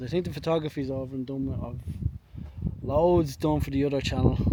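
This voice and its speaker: Speaking with a Dublin accent, a man with a fairly high pitch is heard over noticeable background noise. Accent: Dublin Irish. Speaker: photography vlogger. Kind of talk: casual vlog narration outdoors. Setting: outdoors, walking trail by reservoir.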